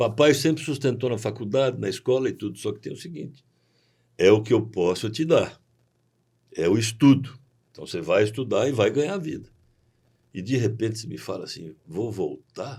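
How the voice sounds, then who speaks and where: A man's dark, mellow, somewhat breathy voice at medium pitch, with lively intonation, a moderate pace, long and frequent pauses, and big swings in loudness. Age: 60s. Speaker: agricultural cooperative president. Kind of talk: podcast interview.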